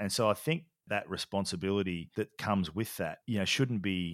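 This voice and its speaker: In an Australian accent, a man talks at a fairly quick pace and a fairly low pitch. The sound is dry and close with no echo, on a very clean recording with a silent background. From Australia, country Victoria. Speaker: leadership and culture consultant. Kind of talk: casual chat.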